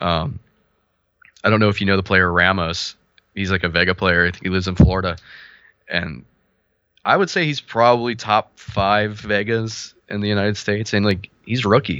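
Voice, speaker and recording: There are long, frequent pauses from a man with a Midwestern American accent. His pitch sits fairly low. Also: ordinary pitch variation, moderate pace. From Ohio, US Midwest. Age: 30s. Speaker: fighting game player and clothing designer. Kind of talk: casual chat.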